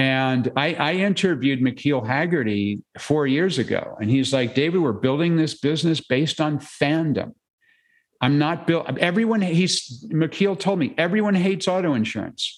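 Over a quiet background, a man with a fairly high pitch talks at a moderate pace with lively intonation and very even loudness. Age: 60s. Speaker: author and keynote speaker. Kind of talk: interview. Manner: hesitant, many fillers.

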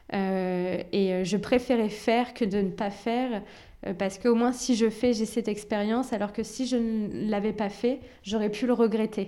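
A woman talks in a dark, mellow tone with fairly even intonation. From Normandy, France (Rouen), born in Algeria. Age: 20s. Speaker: real estate agency founder. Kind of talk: interview. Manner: hesitant, many fillers and repetitions.

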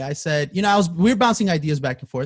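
A man with an American accent speaks with lively intonation and a somewhat breathy voice. The sound is dry and close with no echo, on a very clean recording with a silent background. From Queens, New York. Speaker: music producer. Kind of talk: casual chat.

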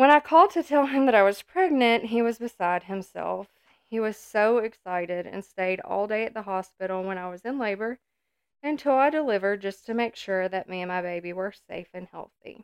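A shaky woman's voice moves at a fairly quick pace, with lively intonation and big swings in loudness. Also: medium pitch for a woman. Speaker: podcast co-host, wife and mother. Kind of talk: testimony; casual chat.

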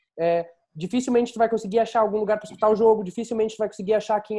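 The voice has a dark, mellow tone and ordinary pitch variation, moving at a very fast pace. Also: man. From Rio Grande do Sul, Pelotas. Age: 20s. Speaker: podcast host. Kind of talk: casual chat. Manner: halting.

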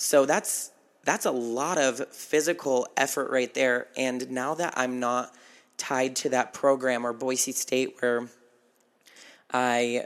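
With an American accent, a man talks at a fairly slow pace. His pitch is medium and his intonation fairly even. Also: very clean recording, silent background. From Nevada, small town. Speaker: podcaster. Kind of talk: casual monologue.

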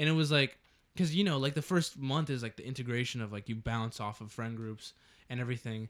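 A medium-pitched man with an American accent at a very fast pace, his pitch varying in an ordinary way. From Texas. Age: young. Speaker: podcast co-host. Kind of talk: casual chat.

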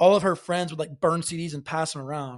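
Against a quiet background, a man with a fairly high pitch speaks in a Southern US accent with fairly even intonation. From Alabama, US South. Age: 20s. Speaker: singer-songwriter. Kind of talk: casual chat.

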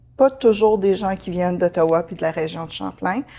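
A woman talks at a moderate pace with a dark, mellow tone. Her pitch varies in an ordinary way. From Ontario, Franco-Ontarian. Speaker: manager at a community health organization. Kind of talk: interview. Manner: halting, many fillers and repetitions.

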